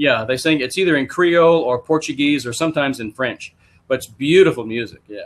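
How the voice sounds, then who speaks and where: Fairly quick and with ordinary pitch variation, this man talks. His accent is Texan. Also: fairly high pitch for a man, big swings in loudness. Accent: Texan American. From Texas. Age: 70s. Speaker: podcast host and MLM writer. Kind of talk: interview.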